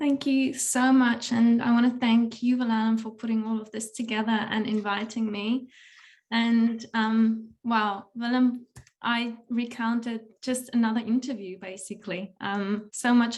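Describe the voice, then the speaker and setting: Her voice is fairly high and somewhat breathy. The woman speaks at a fairly slow pace in a monotone, flat intonation. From South Africa. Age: 30s. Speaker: podcaster. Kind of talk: talk at a workshop.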